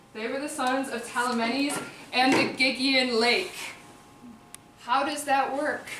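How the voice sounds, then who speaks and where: A woman with a Chicago accent speaks in a raised, projected voice at a fairly slow pace, her high pitch held in monotone, flat intonation with long, frequent pauses. Audible room echo and noticeable background noise fill the recording. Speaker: performer-translator of epic poetry. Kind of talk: live oral translation performance. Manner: casual, conversational asides.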